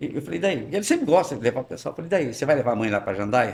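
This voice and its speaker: A man's fairly high voice with vocal fry, very wide pitch swings and a very fast pace. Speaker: businessman. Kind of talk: podcast interview. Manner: animated.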